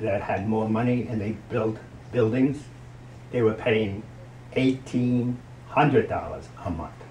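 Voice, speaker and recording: In audible room echo, a man with an American accent and a medium pitch speaks at a fairly slow pace in a monotone, flat intonation. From New Jersey, Hoboken. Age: 70s. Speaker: grandparent. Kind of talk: interview.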